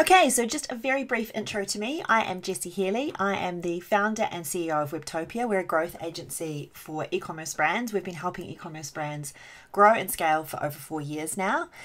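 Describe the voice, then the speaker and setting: Her voice sits at a medium pitch with lively intonation. This woman talks at a fairly quick pace with hardly any pauses. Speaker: agency founder. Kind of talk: webinar training presentation. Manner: fast; occasionally stumbling over words.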